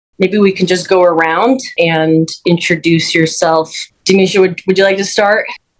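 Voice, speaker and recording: This woman has an unremarkable speaking voice at a medium pitch. Her pace is moderate, her loudness very even and her intonation fairly even. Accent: American. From Minnesota. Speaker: panel host, community advocate. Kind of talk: panel interview.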